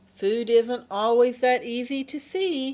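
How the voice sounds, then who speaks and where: A woman does a put-on character voice at a high pitch. Her pace is fairly slow. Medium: read story. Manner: patient, gentle.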